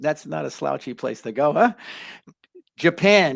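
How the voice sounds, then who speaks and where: This man talks with a Bronx accent and lively intonation. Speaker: life coach, channel host. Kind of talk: live stream chat. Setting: live online stream.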